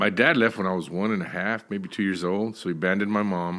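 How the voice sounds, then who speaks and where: On a very clean recording with a silent background, a man with a Texan accent talks in a fairly low pitch. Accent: Texan American. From Texas (Dallas). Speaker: minister and addiction counselor. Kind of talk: interview, personal testimony. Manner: frequent fillers and repetitions.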